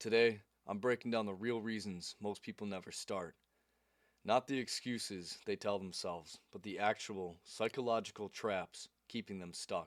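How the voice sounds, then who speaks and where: At a moderate pace, a man speaks in a fairly low pitch, the sound dry and close with no echo. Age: 20s. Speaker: YouTuber and self-help creator. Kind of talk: motivational talk to camera. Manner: animated.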